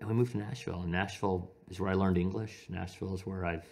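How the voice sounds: A man talks fast in a low voice with vocal fry and a slightly mellow tone. He has an American accent and fairly even intonation.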